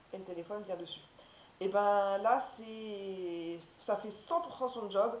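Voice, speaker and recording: A woman talks in a medium-pitched voice, with noticeable noise in the background. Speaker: haul video creator. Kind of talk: casual talk to camera.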